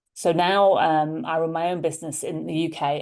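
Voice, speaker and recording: A woman speaks with a very deep, low pitch at a moderate pace. Her intonation stays monotone and flat. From Liverpool, England. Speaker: leadership coach. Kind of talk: interview conversation.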